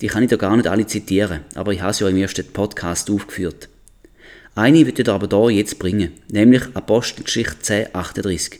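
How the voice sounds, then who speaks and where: An unremarkable speaking voice moves at a fairly quick pace. Pitch varies in an ordinary way. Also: man, fairly low pitch for a man. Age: 40s. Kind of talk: Bible teaching podcast.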